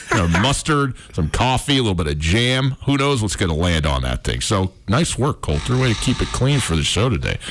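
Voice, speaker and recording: The speaker keeps a moderate pace with hardly any pauses, very even loudness, and very wide pitch swings, with noticeable background noise present. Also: man, fairly low pitch for a man. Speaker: sports radio host. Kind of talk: casual sports radio talk. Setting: radio studio. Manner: stuttering and stammering at times.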